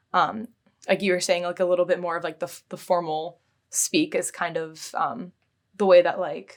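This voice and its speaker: Spoken at a moderate pace with a West Coast accent, the voice comes through on a very clean recording against a silent background. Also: woman. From Seattle area, Washington, US. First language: Bulgarian. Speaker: physics PhD student. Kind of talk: interview. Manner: hesitant, many fillers.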